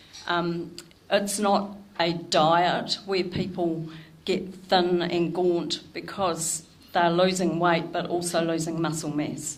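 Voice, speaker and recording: Audible room echo surrounds a woman with a fairly low pitch. She speaks at a very slow pace in a monotone, flat way. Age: 60s. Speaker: nutrition educator. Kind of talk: talk to a club audience.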